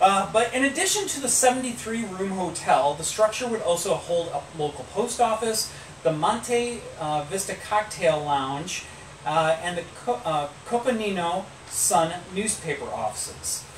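Speaking at a fairly slow pace and a high pitch, a man is heard with audible room echo and light background noise. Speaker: podcast host telling history. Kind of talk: storytelling from notes. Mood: relaxed, playful. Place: home room. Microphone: camera far.

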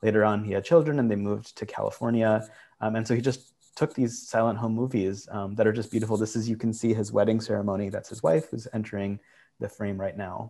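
Over a quiet background, a man with a fairly low pitch and a dark, mellow tone talks at a very fast pace with fairly even intonation. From Michigan, US. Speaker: archive nonprofit director. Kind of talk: panel talk. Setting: video call. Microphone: video call.

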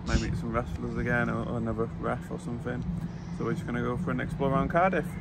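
A man talks at a very fast pace against loud background noise, the sound dry with no echo. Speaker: vlogger. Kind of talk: casual vlog chat. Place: street. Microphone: phone near.

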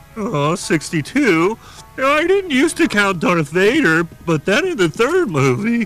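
A man performs a cartoonish character voice at a fairly slow pace with very wide pitch swings, clear music playing in the background. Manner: earnest, rambling.

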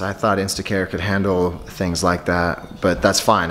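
A man speaks with a very deep, low pitch. Noticeable background noise runs under his voice. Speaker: family vlogger. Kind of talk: casual vlog chat. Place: home room. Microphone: phone near.

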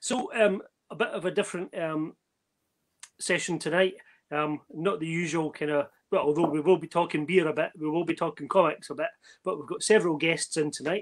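A man talks at a fairly quick pace. His voice is high in pitch, with ordinary variation. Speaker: podcast host. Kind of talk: casual chat. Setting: video call. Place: home room. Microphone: video call.

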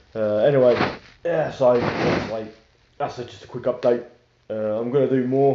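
With audible room echo, a man talks at a fairly quick pace in a dark, mellow tone, his fairly low pitch showing little movement.

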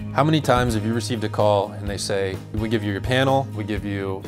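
Clear music plays in the background as a man with a fairly low pitch talks at a very fast pace. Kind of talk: promotional talk to camera. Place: studio.

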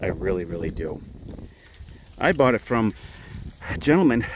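A man speaks at a moderate pace, his pitch swinging very widely. The sound is dry, with no echo. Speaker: motorcycle dealer; seller showing his motorcycle. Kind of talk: sales walkaround video. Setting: outdoors. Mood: proud, enthusiastic. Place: open country. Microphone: phone near.

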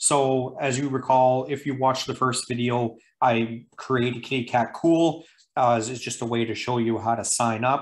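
Here is a man's voice. He speaks at a moderate pace. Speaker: presenter. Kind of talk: tutorial.

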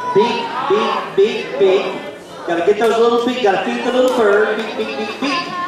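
Loud background noise and audible room echo accompany a man's speech. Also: moderate pace. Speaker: square dance caller. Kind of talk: dance calling, instructing a group. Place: hall.

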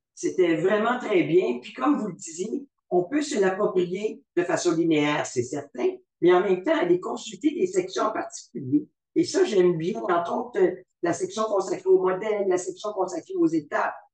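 A man's high-pitched voice, with very wide pitch swings, carries audible room echo over a quiet background. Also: moderate pace. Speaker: webinar moderator. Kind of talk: formal webinar moderation. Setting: video call webinar. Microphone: video call.

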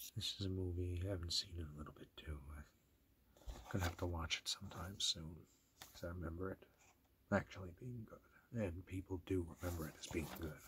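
Soft-spoken and very deep, a man talks at a fairly quick pace with fairly even intonation over noticeable background noise. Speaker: ASMR collector. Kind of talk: ASMR talk to camera. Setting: dim room, lo-fi recording. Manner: soft-spoken, low voice. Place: home room. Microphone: phone near.

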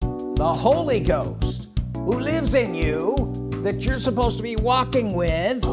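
A man speaks at a fairly slow pace. Loud music plays in the background. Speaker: preacher. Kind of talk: sermon intro. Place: home room.

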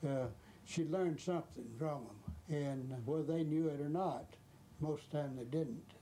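With a Georgia accent, a man of fairly high pitch speaks at a moderate pace in a dark, mellow tone with ordinary pitch variation. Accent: rural Southern US (Georgia). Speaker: former chauffeur. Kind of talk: interview reminiscence.

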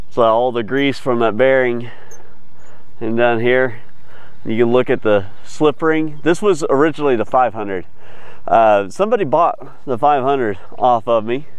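The sound is dry with no echo as a man speaks at a fairly slow pace with ordinary pitch variation. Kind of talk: casual vlog chat. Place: open country. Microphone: phone near.

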